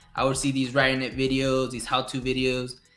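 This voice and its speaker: Very fast speech over music in the background. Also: man. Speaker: podcast host. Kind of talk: casual interview. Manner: mumbling.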